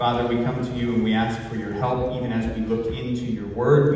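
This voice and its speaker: A man is speaking in a room with strong echo. Light background noise can be heard. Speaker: pastor. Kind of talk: sermon. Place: church.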